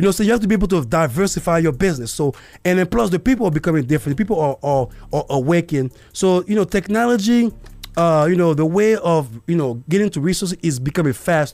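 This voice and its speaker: A man with a high voice and lively intonation talks at a very fast pace, his loudness very even throughout. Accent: non-native. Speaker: podcast host. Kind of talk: casual monologue. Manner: halting, many fillers.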